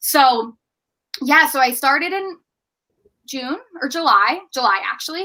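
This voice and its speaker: Speaking in an American accent, a woman raises and projects her high-pitched voice, its tone bright and sharp, with lively intonation. Her pace is fairly slow, broken by long, frequent pauses. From US, Baltimore, Maryland. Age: 20s. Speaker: podcast producer and outreach program head. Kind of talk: interview conversation.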